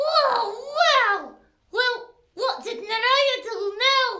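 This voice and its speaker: In a cartoonish character voice, a woman speaks extremely high and very slowly. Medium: puppet.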